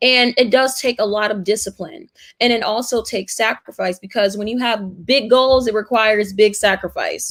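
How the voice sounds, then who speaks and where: A woman with an American accent speaks at a moderate pace and fairly high pitch, with ordinary pitch variation. The recording is very clean, with a silent background. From Brooklyn, New York. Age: 20s. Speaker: activist and university student. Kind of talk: interview.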